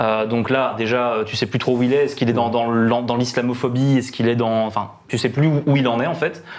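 A man at a medium pitch talks at a fairly quick pace with fairly even intonation and hardly any pauses, over noticeable background noise. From Belgium. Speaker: music columnist. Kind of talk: casual chat.

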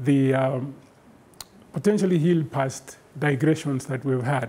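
With a dark, mellow, somewhat breathy tone, a man speaks at a fairly high pitch and a fairly slow pace with fairly even intonation. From Kenya. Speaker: professor and keynote lecturer; professor, keynote lecturer. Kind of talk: lecture. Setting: virtual lecture broadcast live from an office. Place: studio. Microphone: lapel.

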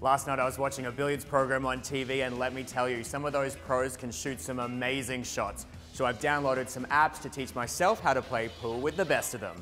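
Over faint background music, a man with a medium pitch talks at a fairly quick pace in an upbeat, playful tone with ordinary pitch variation. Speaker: TV host and news anchor. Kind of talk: upbeat tech show host to camera. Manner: upbeat, playful, conversational. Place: studio. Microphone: lapel.

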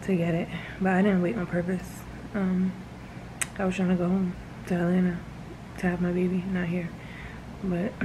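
A woman's monotone, flat voice at very even loudness and a moderate pace, with long, frequent pauses and noticeable background noise. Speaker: new mother vlogger. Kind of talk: casual vlog chat. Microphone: phone near.

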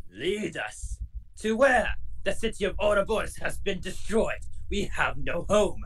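Someone speaks in a put-on character voice at a moderate pace. Clear background noise can be heard. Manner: ranting, indignant.

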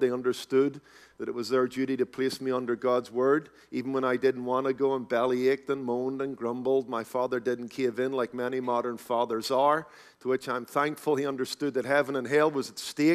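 A man with a Northern Irish accent talks at a fairly quick pace in a monotone, flat delivery. The background is quiet. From Northern Ireland, Belfast. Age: 40s. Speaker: pastor. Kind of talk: sermon. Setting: conference stage with audience. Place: hall. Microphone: headset.

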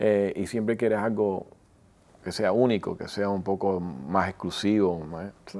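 A man with a dark, mellow tone speaks at a fairly slow pace. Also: fairly low pitch for a man, fairly even intonation. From Miami, Florida (Wynwood); Florida. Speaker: celebrity photographer; interview guest. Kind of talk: interview. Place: studio. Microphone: lapel.

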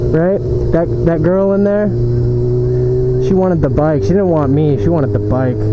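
With music playing behind it, the talking proceeds at a moderate pace. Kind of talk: casual motovlog commentary. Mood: joking, excitable, sometimes irritated. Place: motorbike. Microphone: helmet.

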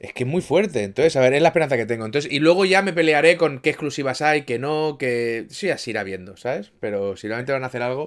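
Against a quiet background, a man with a fairly high pitch speaks very fast with lively intonation. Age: 30s. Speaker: gaming streamer; streamer. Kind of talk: casual chat. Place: home room.

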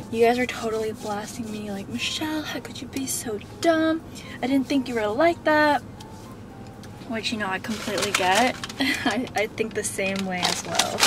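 Against noticeable background noise, a woman speaks at a moderate pace with ordinary pitch variation and a dry sound with no echo. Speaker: vlogger. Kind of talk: casual vlog chat. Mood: playful storytelling. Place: car. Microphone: phone near.

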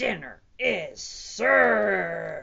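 A woman puts on a character voice at medium pitch, bright and sharp in tone, with big pitch swings and vocal fry.

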